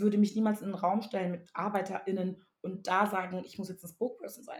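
A woman's medium-pitched voice proceeds at a moderate pace. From Togo. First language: Ewe (speaking German). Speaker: writer and artist. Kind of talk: casual chat.

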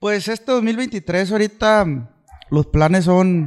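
This man's speech moves very slowly. Ordinary pitch variation runs through it. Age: 20s. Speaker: musician. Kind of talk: casual chat.

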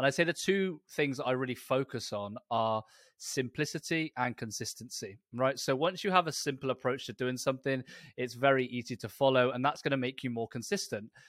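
A man with a British accent, in a dry, close sound without echo, on a very clean recording with a silent background. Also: medium pitch for a man, ordinary pitch variation, fairly quick pace. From Britain. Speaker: personal trainer and lifestyle coach. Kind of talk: interview.

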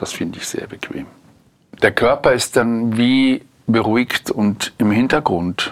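Loudness rises and falls a lot as the words come very slowly. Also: man, medium pitch for a man, ordinary pitch variation. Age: 60s. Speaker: interviewee. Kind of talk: casual chat. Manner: halting.

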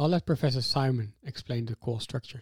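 Music plays in the background while a man talks at medium pitch. The sound is dry and close, with no echo. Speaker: podcast co-host and PhD student. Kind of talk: scripted narration. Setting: studio.

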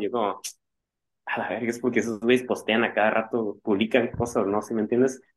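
Very fast pace from a man at medium pitch. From Mexico, Tijuana. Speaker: punk band guitarist. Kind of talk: casual interview chat. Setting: video call.

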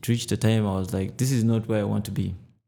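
The man's fairly low voice has a dark, mellow tone and fairly even intonation, with audible room echo. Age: 20s. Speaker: personal trainer. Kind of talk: casual interview.

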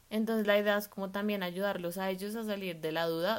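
A woman speaks in a normal speaking voice at a moderate pace. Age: 20s. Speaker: food blogger and design student. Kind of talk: podcast interview.

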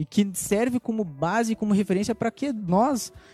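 With music in the background, a man speaks at a moderate pace in a high pitch with ordinary pitch variation. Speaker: church member panelist. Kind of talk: casual church panel discussion.

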